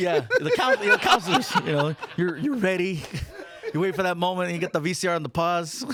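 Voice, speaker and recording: Over noticeable background noise, a man with a high pitch speaks at a fairly quick pace in an animated tone with ordinary pitch variation. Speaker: stand-up comedian. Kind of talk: interview answer at a live audience event. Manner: animated, joking, storytelling.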